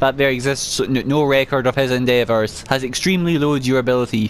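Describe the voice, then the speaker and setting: Clearly audible background noise runs under speech of moderate speed. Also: man. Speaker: gaming let's play creator. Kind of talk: gameplay commentary with item descriptions read aloud. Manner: halting, repeated sounds on S and W.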